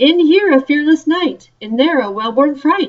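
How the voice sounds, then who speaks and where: Bellowing in a put-on character voice, a woman speaks at a high pitch with lively intonation and a moderate pace. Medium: read story. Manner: roaring, archaic.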